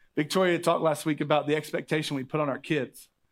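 On a very clean recording with a silent background, a man with an American accent and a plain, everyday voice talks at a fairly quick pace and a fairly high pitch. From Oklahoma. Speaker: pastor. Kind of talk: sermon. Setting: church with congregation.

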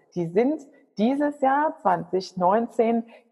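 A woman is talking. Her intonation rises and falls in a lively way. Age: 30s. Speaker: business consultant. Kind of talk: interview. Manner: animated.

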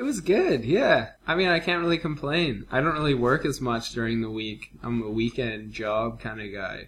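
With hardly any pauses, a man talks in an ordinary speaking voice of medium pitch and lively intonation. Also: moderate pace. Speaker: podcast co-host.

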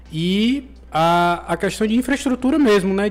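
The man's intonation is lively. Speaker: podcast host. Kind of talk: sponsor read; casual interview.

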